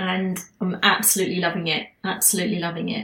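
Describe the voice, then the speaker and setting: A somewhat breathy woman with an English accent. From England. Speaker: spiritual healer and channeler podcast host. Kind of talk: casual monologue.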